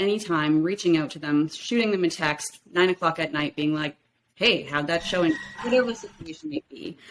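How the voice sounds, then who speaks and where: With a Canadian accent, the speaker sounds energetic, moving at a fairly quick pace with lively intonation. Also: woman. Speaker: realtor. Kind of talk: podcast interview. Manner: loud.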